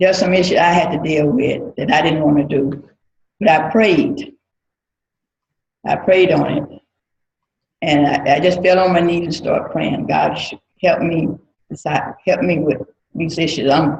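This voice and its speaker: Somewhat breathy and fairly low in pitch, a woman talks at a moderate pace with ordinary pitch variation and long, frequent pauses. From US South, Mississippi. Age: 60s. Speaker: church member. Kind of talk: testimony.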